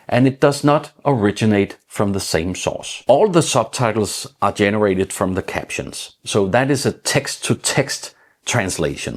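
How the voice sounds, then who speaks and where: Man with a Danish accent, medium pitch, a fairly slow pace and hardly any pauses. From Denmark. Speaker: tech YouTuber. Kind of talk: tutorial.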